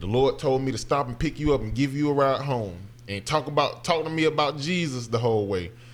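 Moving at a fairly quick pace, a man with a Southern US accent speaks with lively intonation. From Alabama. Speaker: actor. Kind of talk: casual chat.

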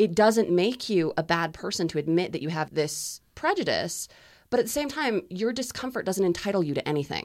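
A woman with a plain, everyday voice, fairly quick delivery and lively intonation, on a very clean recording with a silent background. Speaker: student group leader. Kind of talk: panel interview discussion. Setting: studio.

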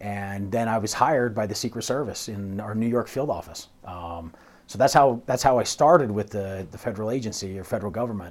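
A man with a plain, everyday voice and an American accent talks at a fairly quick pace. His pitch sits fairly low with ordinary variation, and his loudness swings widely. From US West, St. George, Utah. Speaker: federal law enforcement agent. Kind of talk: interview. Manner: casual, conversational.

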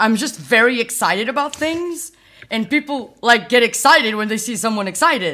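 In a very clean recording with a silent background, a woman with a fairly high pitch speaks at a moderate pace, her tone bright and sharp and her intonation lively. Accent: Portuguese. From Portugal, near Porto. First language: Portuguese. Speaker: software developer advocate. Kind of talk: casual interview. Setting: podcast recording.

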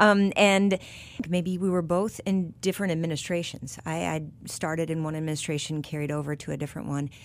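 With an ordinary speaking voice, a woman talks at a fairly quick pace and fairly low pitch, keeping her intonation fairly even. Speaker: podcast host. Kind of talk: interview discussion. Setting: studio.

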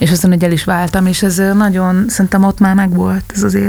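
A woman of medium pitch speaks in a flat, monotone way over noticeable background noise. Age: 40s. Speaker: singer and musician. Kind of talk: casual chat.

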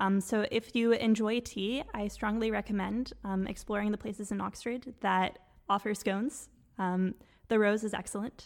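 A woman with an ordinary speaking voice and a fairly high pitch keeps her intonation fairly even while talking at a moderate speed. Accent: Canadian. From Quebec. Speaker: doctoral student. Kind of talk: casual chat.

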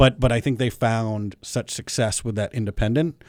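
In a plain, everyday voice, a man speaks at a fairly quick pace and a fairly low pitch with ordinary pitch variation, on a very clean recording with a silent background. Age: 30s. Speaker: hotel owner. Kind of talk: radio interview.

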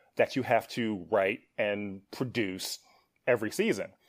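At a fairly slow pace, a man with an American accent and an unremarkable speaking voice shows ordinary pitch variation on a very clean recording with a silent background. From US Midwest, Milwaukee, Wisconsin. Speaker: TV writer and producer. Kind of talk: podcast interview.

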